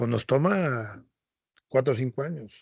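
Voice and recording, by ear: A slightly husky edge with vocal fry. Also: man.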